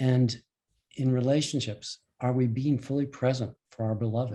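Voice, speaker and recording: The man has a medium pitch and a dark, mellow tone that is somewhat breathy. His intonation is monotone and flat. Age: 70s. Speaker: life and relationship coach. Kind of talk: online presentation to a group. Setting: call. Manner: hesitant, with repetitions and fillers.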